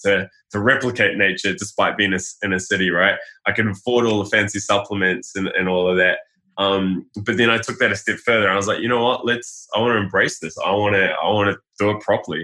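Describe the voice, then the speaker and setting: Speaking at a fairly quick pace, a man with a New Zealand accent keeps a fairly low pitch and fairly even intonation. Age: 30s. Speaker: health blogger. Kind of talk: casual chat.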